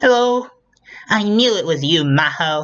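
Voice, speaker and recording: The voice sits at a middle pitch. It is a put-on character voice. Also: moderate pace. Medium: read story. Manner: soft, sweet.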